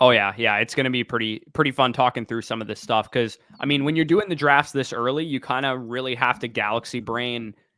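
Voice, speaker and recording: In a plain, everyday voice, a man with a Canadian accent speaks at a fairly quick pace with hardly any pauses. His pitch is medium, with ordinary variation. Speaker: fantasy football podcast host. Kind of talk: casual livestream chat.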